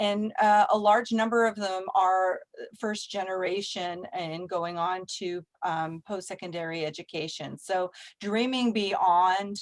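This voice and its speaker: Against a silent background on a very clean recording, a woman talks fairly slowly at a medium pitch with fairly even intonation. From Canada (immigrated from Czech Republic as child). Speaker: nonprofit executive director. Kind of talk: guest talk in video meeting.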